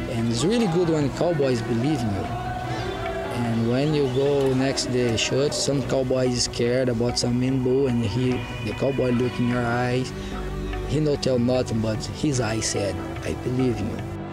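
A man's voice, dry with no echo, over clear music in the background. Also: moderate pace. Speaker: rodeo protection clown. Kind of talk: interview answer. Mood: earnest, reflective.

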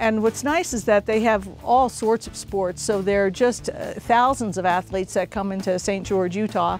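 With music in the background, a woman speaks at a fairly high pitch with fairly even intonation, the sound dry with no echo. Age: 60s. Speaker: racquetball player. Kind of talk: interview answer. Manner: casual, conversational. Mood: warm, enthusiastic. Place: garden.

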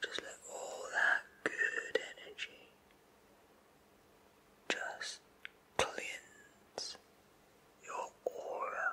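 Someone whispers softly, very slowly, with long and frequent pauses. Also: man. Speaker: presenter. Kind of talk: comedic address to camera. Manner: soft, hushed ASMR near-whisper.

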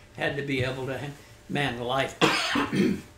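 Noticeable background noise sits behind a man speaking at a moderate pace in a fairly high pitch. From Oregon. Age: 80s+. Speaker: war veteran, merchant seaman. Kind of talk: interview answer.

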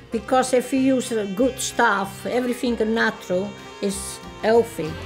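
Clear music plays behind a woman who speaks at a fairly slow pace, her fairly high pitch showing ordinary variation. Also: long, frequent pauses. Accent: Italian. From Italy, rural Lazio. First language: Italian. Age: old. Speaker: grandmother home cook. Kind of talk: casual talk to camera in cooking ad. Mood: warm, cheerful. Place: kitchen.

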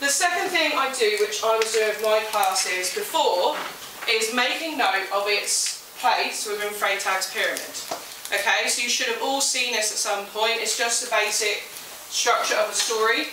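Amid audible room echo and noticeable background noise, a woman talks at a moderate pace with ordinary pitch variation. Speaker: teacher. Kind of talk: lecture. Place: classroom. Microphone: camera far.

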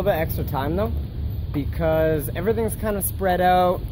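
A man talks at a moderate pace. There is noticeable background noise. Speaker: travel vlogger. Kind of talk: casual vlog chat. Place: open country. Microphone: phone near.

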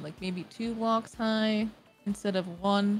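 Music plays in the background as a woman speaks at a fairly slow pace in a fairly high voice with ordinary pitch variation. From Canada. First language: not English. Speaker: streamer. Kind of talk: casual chat while gaming. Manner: animated.

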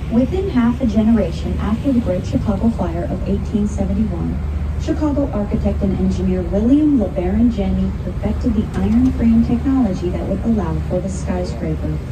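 A woman at a fairly quick pace with hardly any pauses, over noticeable background noise. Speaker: tour guide narrator. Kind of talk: guided tour commentary. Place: boat.

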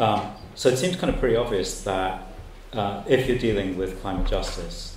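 A man talks at an average speed, with clear noise in the background. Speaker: event host. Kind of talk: Q&A moderation. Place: classroom. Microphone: handheld.

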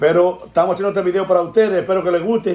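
The room echo is audible. The pace is very fast. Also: man. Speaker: family channel host. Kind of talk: casual vlog chat. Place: home room. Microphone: phone near.

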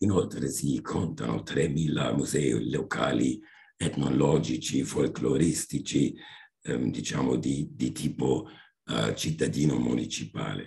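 A man with a German accent, very deep and low in pitch, at a very slow pace. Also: ordinary pitch variation. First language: German (speaking Italian). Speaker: history professor. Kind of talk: seminar talk. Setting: video call.

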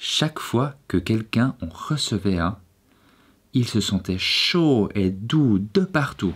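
A man speaks at a medium pitch and a very slow pace, his tone gentle and soothing and somewhat breathy. His pitch swings very widely while his loudness stays very even, on a very clean recording with a silent background. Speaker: video creator and storyteller. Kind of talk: bedtime story reading aloud. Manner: gentle, soft and soothing, slow storyteller's pace.

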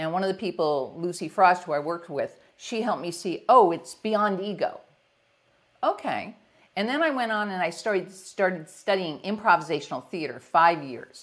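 In a New York accent, a woman of medium pitch talks at a moderate pace with lively intonation and an energetic tone on a very clean recording with a silent background. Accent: New York area. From US Northeast. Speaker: executive leadership coach. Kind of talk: casual interview.

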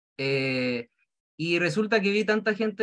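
Against a quiet background, a man with a Chilean accent speaks at a moderate pace in a high pitch, with a bright, sharp tone and lively intonation. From rural Chile. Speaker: direct seller. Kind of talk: testimony. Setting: video call. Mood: grateful, upbeat. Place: home room. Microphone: video call.

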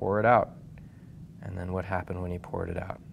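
A man speaks over light background noise. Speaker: priest teaching catechism. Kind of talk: lecture. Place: meeting room.

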